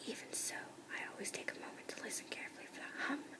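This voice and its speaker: A woman whispers at a fairly quick pace. There is noticeable background noise. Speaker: ASMR whisper reader. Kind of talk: whispered audiobook-style reading of a novel. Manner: whispered, soft.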